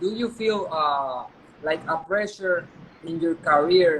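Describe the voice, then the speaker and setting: The delivery keeps a moderate pace, and noticeable background noise can be heard throughout. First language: Spanish. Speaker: boxing journalist. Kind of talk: interview.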